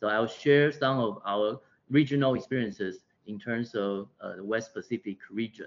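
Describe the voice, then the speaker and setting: Speaking at a moderate pace with a Taiwanese accent, a man shows ordinary pitch variation and big swings in loudness. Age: 40s. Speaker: public health physician. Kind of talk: lecture. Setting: video call. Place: office. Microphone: video call.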